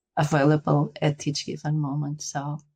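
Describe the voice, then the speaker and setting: A woman speaks fairly slowly with a Portuguese accent in a very deep, low voice. The sound is dry and close, with no echo. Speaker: spiritual guide. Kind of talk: interview; guided meditation. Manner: halting.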